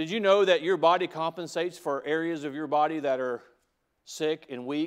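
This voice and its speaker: A man speaks with a Southern US accent at a moderate pace, his pitch fairly high. His intonation stays fairly even over a quiet background. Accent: US South. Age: 40s. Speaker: pastor. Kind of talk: sermon. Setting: church. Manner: halting.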